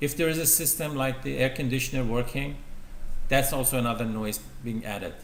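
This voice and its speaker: Audible room echo surrounds a man who talks at a fairly quick pace, with a medium pitch and fairly even intonation. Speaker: university lecturer. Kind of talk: lecture. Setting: lecture room with projector. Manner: loud.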